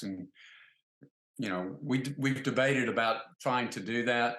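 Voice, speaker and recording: A man with an American accent speaks at a moderate pace in a medium pitch, with ordinary pitch variation. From US South. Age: 60s. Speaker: wine distributor, company founder. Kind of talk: interview. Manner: halting, many fillers.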